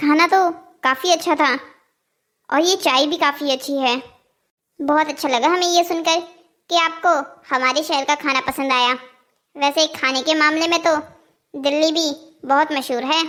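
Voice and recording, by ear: A cartoonish character voice speaks at a moderate pace with fairly even intonation. Long, frequent pauses break up the speech, and the recording is very clean with a silent background. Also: woman.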